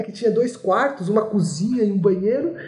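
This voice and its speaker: A man's high-pitched voice at a moderate pace with ordinary pitch variation and noticeable background noise. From Brazil, São Paulo city. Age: 20s. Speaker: engineering graduate student. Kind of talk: interview.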